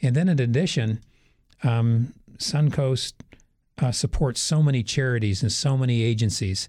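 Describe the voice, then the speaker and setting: An American-accented man, medium in pitch with ordinary variation, dark and mellow and somewhat breathy, at a moderate pace with long, frequent pauses and very even loudness, on a very clean recording with a silent background. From Wisconsin. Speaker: energy company executive. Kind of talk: radio interview.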